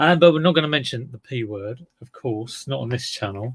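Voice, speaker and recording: The voice is somewhat breathy and moves at a moderate pace. Its intonation is lively, and its loudness swings widely. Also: man. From southeast England. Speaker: livestreamer addressing viewers. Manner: casual, chatty.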